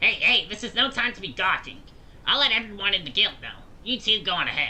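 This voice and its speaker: A put-on character voice, fairly high in pitch and very fast, against clear background noise. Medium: game stream. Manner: excited, repetitive.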